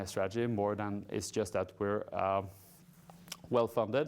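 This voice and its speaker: A fairly low-pitched male voice with fairly even intonation. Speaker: company CEO presenting. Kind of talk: investor presentation. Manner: fast.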